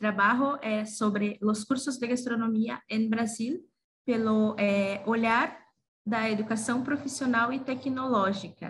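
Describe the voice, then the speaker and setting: Speaking at a very slow pace, a woman has a fairly high pitch and a somewhat breathy sound. Her intonation stays fairly even. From Brazil. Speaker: gastronomy teacher and researcher. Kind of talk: conference presentation. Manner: halting, many fillers.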